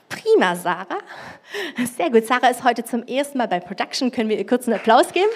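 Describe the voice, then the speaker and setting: Over noticeable background noise, a woman with a high pitch speaks very fast in an animated tone, her intonation lively, with long, frequent pauses. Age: 40s. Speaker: preacher. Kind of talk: sermon. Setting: church.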